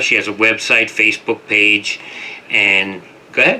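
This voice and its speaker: Noticeable background noise can be heard. The talking holds a moderate pace. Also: man. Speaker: radio talk show host. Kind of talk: radio interview.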